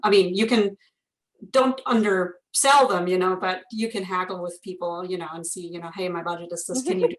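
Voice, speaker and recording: A woman speaks at a fairly quick pace. She has a German accent. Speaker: instructional designer. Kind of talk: interview conversation.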